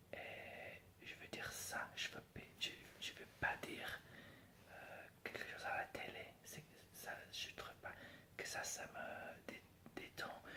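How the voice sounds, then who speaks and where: Whispering from a man with an English accent, very slow, with long, frequent pauses. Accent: non-native French, English. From England. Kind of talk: ASMR whisper talk. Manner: whispered, soft-spoken.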